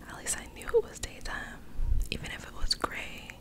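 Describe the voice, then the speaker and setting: Whispering at a moderate pace, the voice competes with noticeable background noise. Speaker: ASMR creator. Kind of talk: horror story reading. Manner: whispered.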